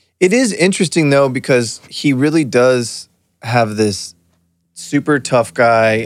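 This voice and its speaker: Captured on a very clean recording with a silent background, a man uses a normal speaking voice at medium pitch with ordinary pitch variation. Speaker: podcast host. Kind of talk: casual banter podcast.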